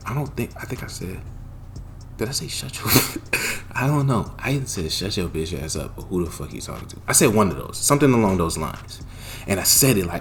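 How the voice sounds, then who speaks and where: A man's lively, fairly quick voice with audible room echo. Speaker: YouTuber storyteller. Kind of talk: storytime monologue. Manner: animated.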